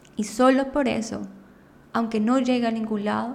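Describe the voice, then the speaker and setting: A woman speaks with monotone, flat intonation over noticeable background noise and audible room echo. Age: 20s. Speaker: podcast host. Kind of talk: personal monologue. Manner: improvised.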